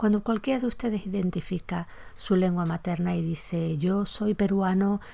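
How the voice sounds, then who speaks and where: A woman's somewhat breathy voice has a dark, mellow tone and moves at a fairly slow pace. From Andalusia, Spain. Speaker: podcast host, Spanish language historian. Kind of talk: educational podcast lecture.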